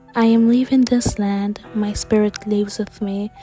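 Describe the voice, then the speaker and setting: Music plays in the background as a woman with a fairly high pitch speaks in a flat monotone at a fairly slow pace. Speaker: young author and vlogger. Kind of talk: educational history narration.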